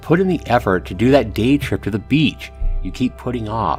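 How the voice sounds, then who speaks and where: There is music in the background. Over it, a man talks at a moderate pace. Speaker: YouTuber. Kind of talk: letter read aloud.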